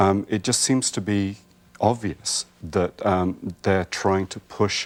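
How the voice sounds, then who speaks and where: A man with an English accent speaks fairly slowly in a very deep, low voice with ordinary pitch variation. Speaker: herbalist. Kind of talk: TV interview.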